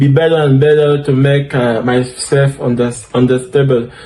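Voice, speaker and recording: Fairly high male speech at a moderate pace with fairly even intonation and noticeable background noise. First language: French. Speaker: DevOps instructor. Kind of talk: tutorial. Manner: halting, with fillers.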